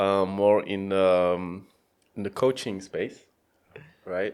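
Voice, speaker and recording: A man with a French accent speaks at a very slow pace. The recording is very clean, with a silent background. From France. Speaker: data scientist and coach. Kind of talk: podcast interview. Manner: hesitant, many fillers.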